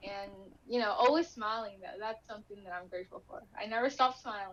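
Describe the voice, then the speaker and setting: A woman with a Spanish accent, a fairly high pitch, ordinary pitch variation, and a fairly quick pace. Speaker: inspirational speaker with chronic illness. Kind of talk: interview testimony.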